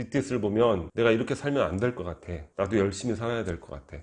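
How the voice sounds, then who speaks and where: The man speaks at a medium pitch. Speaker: book review YouTuber. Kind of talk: book review monologue.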